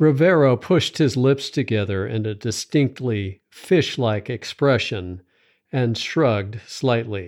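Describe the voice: Here is an unremarkable speaking voice from a man, medium in pitch with lively intonation at a fairly slow pace. The recording is very clean with a silent background.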